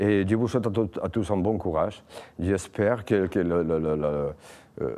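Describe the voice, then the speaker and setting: A man's very deep, low voice with a dark, mellow tone at a fairly slow pace, against a quiet background. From Spain. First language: Spanish (speaking French). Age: 40s. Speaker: political candidate, former slaughterhouse worker. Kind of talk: campaign testimony. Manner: halting, many repetitions and hesitations.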